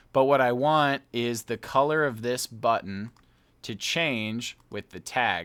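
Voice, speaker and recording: This is a man with a medium pitch and an unremarkable speaking voice. His pitch variation is ordinary, and the recording is very clean with a silent background. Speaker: automation engineer and YouTube educator. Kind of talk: tutorial. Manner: casual with filler words.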